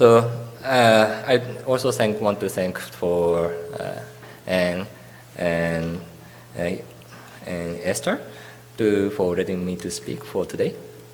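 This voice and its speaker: A man's very deep, low voice with lively intonation, a very slow pace and long, frequent pauses, amid noticeable background noise and audible room echo. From Japan, Tokyo. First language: Japanese. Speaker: architect. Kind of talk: lecture. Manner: halting.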